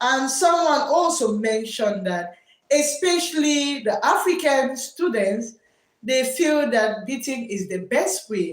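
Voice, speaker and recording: Loud and high-pitched, a woman talks at a very slow pace with lively intonation. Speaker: teacher and livestream host. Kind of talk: live stream chat.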